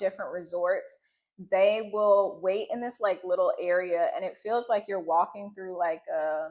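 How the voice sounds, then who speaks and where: This is a woman speaking. Her pitch sits in the medium range. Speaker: travel vlogger. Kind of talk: casual chat. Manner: loud.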